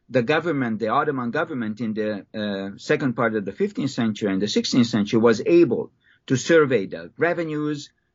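A man speaks with a Hungarian accent at a fairly quick pace. His pitch is medium and his intonation lively. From Hungary. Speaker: history professor. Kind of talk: interview. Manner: halting.

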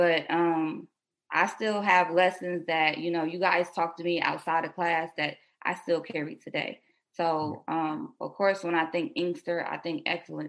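With an American accent, a woman talks in a plain, everyday voice, her pitch fairly low and her intonation fairly even. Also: quiet background. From Detroit, Michigan (born South Carolina). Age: 20s. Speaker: nail business entrepreneur. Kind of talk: casual interview. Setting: remote call.

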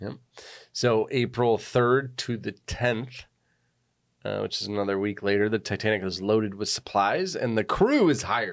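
A man with an ordinary speaking voice, fairly low pitch, ordinary pitch variation and a moderate pace, on a very clean recording over a silent background. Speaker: podcast host. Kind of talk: casual chat. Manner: chatty, jokey.

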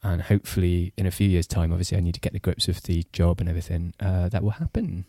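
A man talks at a very fast pace with a very deep, low pitch, a dark, mellow tone and a somewhat breathy quality. His intonation is monotone and flat, his loudness very even, and the very clean recording has a dry, close sound with no echo and a silent background. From Singapore. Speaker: journalist. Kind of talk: casual chat.

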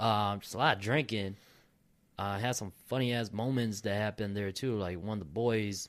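A man's fairly low voice at a fairly quick pace, an unremarkable speaking voice, on a very clean recording with a silent background. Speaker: podcast host. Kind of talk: casual chat. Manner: casual, profane.

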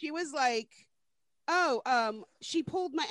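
With an American accent, a woman speaks at a high pitch. Her voice swings very widely in pitch. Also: dry, close sound with no echo. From Florida. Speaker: podcast co-host. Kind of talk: casual chat. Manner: animated.

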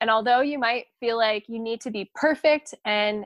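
On a very clean recording with a silent background and a dry, close sound with no echo, a woman with a plain, everyday voice talks at a moderate pace in a fairly high pitch with ordinary pitch variation. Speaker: physical therapy student podcast co-host. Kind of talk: casual chat.

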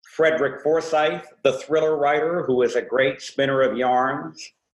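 A man speaks in a plain, everyday voice at a fairly high pitch. He goes at a fairly slow pace with fairly even intonation. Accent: American. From US West Coast, San Francisco Bay Area. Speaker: former talk radio host, media coach. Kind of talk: casual chat. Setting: video call.

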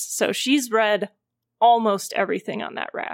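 Delivered at a moderate pace with fairly even intonation, a plain, everyday voice sounds dry and close with no echo. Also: woman. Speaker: tabletop game player. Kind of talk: casual roleplaying game session.

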